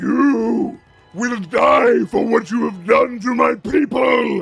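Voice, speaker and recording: Faint music plays in the background as a man does a put-on character voice, high in pitch and very slow in pace. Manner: bellowing, vengeful.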